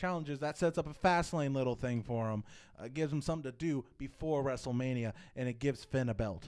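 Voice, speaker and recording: A man's medium-pitched voice at a very fast pace with ordinary pitch variation, in a very clean recording with a silent background. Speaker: wrestling podcast co-host. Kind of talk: casual chat. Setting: live stream.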